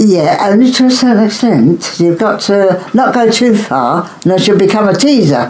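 With audible room echo and noticeable background noise, a woman of medium pitch speaks at a moderate pace with hardly any pauses, very even loudness, and very wide pitch swings. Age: 90s. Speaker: grandmother interviewed about love in wartime. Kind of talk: casual interview.

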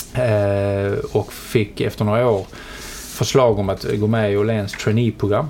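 A man at a fairly low pitch, fairly slow and monotone, flat in intonation, over noticeable background noise. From southern Sweden (Skåne, Helsingborg). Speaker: media company chief executive. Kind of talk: interview. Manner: halting, many repetitions and fillers.

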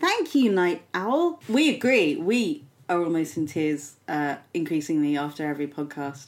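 A woman with a plain, everyday voice speaks at a moderate pace in a fairly low pitch, her intonation lively and her speech hardly pausing, on a very clean recording with a silent background. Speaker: podcast co-host. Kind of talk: casual comedic banter.

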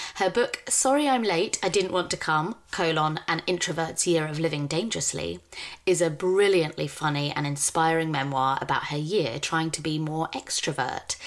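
A woman speaks with a British accent. Her pitch is fairly low and moves in an ordinary way. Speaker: podcast host. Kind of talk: casual chat.

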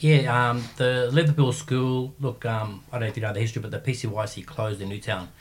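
A man with an Australian accent speaks at medium pitch, somewhat breathy, with ordinary pitch variation. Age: 50s. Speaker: martial arts coach and gym owner. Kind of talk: casual interview chat. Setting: studio.

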